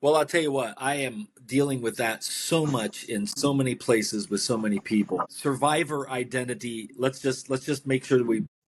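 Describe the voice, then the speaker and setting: At a moderate pace with hardly any pauses, this is a plain, everyday voice with ordinary pitch variation. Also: man, medium pitch for a man. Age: 60s. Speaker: author and midlife transitions coach. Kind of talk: interview.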